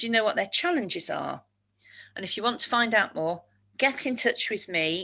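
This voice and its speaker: A woman's voice carries a bright, sharp tone and vocal fry. Her pitch swings very widely against a quiet background. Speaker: speaker on neurodiversity at work. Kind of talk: webinar presentation. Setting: webinar. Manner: fast.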